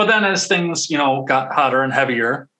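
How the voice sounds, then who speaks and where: A man's bright, sharp voice moves with ordinary pitch variation. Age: 30s. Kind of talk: casual chat. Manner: halting.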